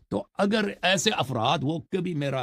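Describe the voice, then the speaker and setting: Vocal fry from a male speaker, his pitch swinging very widely. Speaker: Shia religious scholar. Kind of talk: religious commentary monologue. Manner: harsh, sharp tone.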